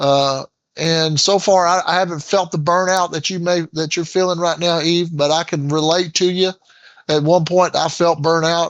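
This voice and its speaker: Here a man with an American accent speaks in a high, flat monotone. His pace is moderate, and the sound is dry and close with no echo. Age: 60s. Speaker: engineer and retired sports coach. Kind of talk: casual chat. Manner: halting, many fillers.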